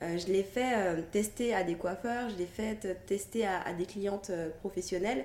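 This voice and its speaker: Her tone dark and mellow with vocal fry, a woman talks at a medium pitch with fairly even intonation. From Guadeloupe (childhood to age 9). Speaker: hairdresser and brand founder. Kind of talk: interview.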